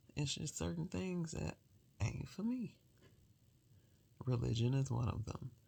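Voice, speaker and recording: A soft-spoken woman's very deep, low voice with a dark, mellow tone and vocal fry, very wide pitch swings, long, frequent pauses and a fairly slow pace. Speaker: solo vlogger. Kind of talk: casual late-night monologue.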